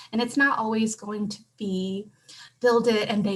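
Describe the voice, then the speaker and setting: Speaking fairly slowly, a woman with a Southeast Asian accent has a fairly high voice and fairly even intonation. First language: Hmong. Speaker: conference panelist. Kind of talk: conference presentation. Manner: frequent filler words.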